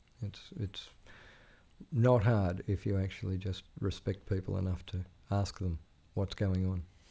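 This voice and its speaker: A man with an Australian accent, very deep and low in pitch, with a dark, mellow, somewhat breathy tone, fairly even intonation, a fairly slow pace and long, frequent pauses, on a very clean recording with a silent background. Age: 60s. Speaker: veteran journalist. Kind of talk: interview conversation. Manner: halting, many fillers.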